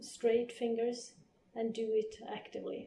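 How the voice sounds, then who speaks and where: With a Swedish accent, a woman speaks at a very slow pace in a fairly high pitch, with audible room echo around her. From northern Sweden. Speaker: physiotherapist. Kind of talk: interview.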